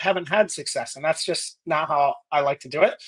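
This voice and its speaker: A man with an American accent speaks loudly. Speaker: business leader and army veteran. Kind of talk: interview. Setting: live video podcast. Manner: loud, intense.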